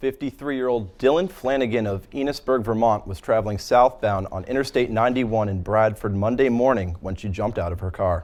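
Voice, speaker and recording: A man talks at a medium pitch in a normal speaking voice. His pace is fairly quick, with hardly any pauses and ordinary pitch variation. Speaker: TV news reporter and anchor. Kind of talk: anchor reading news copy. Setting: broadcast news studio and field reports.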